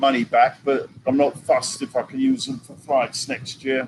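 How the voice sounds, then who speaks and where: A man speaks with an English accent and fairly even intonation. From England. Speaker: vlogger. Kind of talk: live stream chat.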